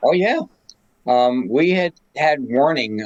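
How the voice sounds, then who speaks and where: A man with an American accent, recorded dry and close with no echo. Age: 70s. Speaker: radio amateur, DX expedition operator. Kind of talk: interview.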